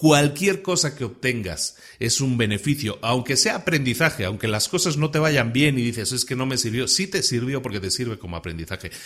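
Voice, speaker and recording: A man speaks with a bright, sharp tone at a medium pitch. His intonation is lively and his pace moderate. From Spain. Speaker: podcast host. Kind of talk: podcast monologue. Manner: conversational, some repetitions and fillers.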